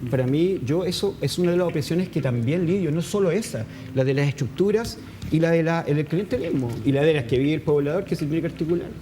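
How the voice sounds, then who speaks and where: In a Chilean accent, a man with a fairly high pitch speaks at a very fast pace, with ordinary pitch variation and very even loudness. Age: 50s. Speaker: NGO founder and activist. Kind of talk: interview. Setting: studio. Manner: halting.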